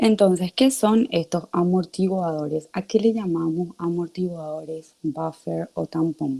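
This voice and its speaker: A woman with a fairly low pitch and a dark, mellow tone speaks at a fairly slow pace with hardly any pauses, ordinary pitch variation, and a dry, close sound with no echo. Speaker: teaching assistant. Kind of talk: online class lecture.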